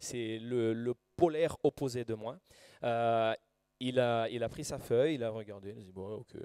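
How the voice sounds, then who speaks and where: A man with a Brazilian accent, a dark, mellow tone, ordinary pitch variation and a fairly slow pace, in a dry, close sound with no echo. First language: Portuguese (speaking French). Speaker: preacher. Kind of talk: sermon. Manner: halting.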